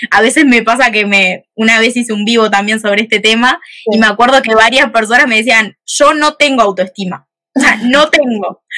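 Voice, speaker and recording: A bright, sharp tone goes with ordinary pitch variation at a fairly quick pace. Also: woman, fairly high pitch for a woman. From Uruguay, Montevideo. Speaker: psychologist. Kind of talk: casual interview on a live video stream. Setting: live video stream.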